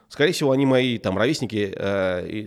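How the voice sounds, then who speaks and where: On a very clean recording with a silent background, a man in an ordinary speaking voice talks at a fairly quick pace with medium pitch and lively intonation. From Russia, grew up in military towns. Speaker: tech entrepreneur. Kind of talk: interview.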